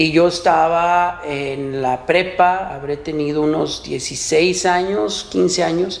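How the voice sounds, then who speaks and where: The speaker, with a Mexican accent, talks at a very slow pace with hardly any pauses and fairly even intonation. Audible room echo and noticeable background noise fill the recording. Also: man, high pitch for a man. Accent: Mexican Spanish (Jalisco). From Mexico, Ciudad Guzmán, Jalisco. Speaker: podcast co-host and business owner. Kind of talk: casual chat.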